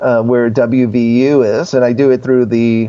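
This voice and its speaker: A man with a plain, everyday voice speaks at a medium pitch, his intonation fairly even. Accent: American. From New Jersey. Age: 60s. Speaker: screenwriter and filmmaker. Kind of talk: casual interview.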